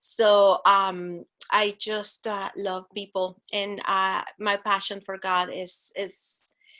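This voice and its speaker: A bright, sharp tone delivered in a monotone with flat intonation. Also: woman. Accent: Spanish. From Guatemala. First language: Spanish. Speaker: church ministry director. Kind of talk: interview. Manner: halting.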